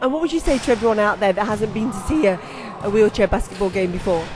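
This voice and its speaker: A woman at a fairly high pitch with lively intonation and a very fast pace, music in the background. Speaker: hospital radio presenter. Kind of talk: radio interview questions.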